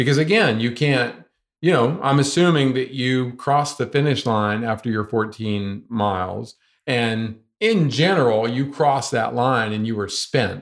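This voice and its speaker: Speaking fairly slowly with an American accent, a man uses a normal speaking voice at a medium pitch with ordinary pitch variation. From US South, North Carolina. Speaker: ultramarathon runner. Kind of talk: interview. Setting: in person.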